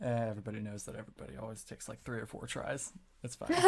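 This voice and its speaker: A put-on character voice, low-pitched and raspy, at a very fast pace. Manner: sad, flat.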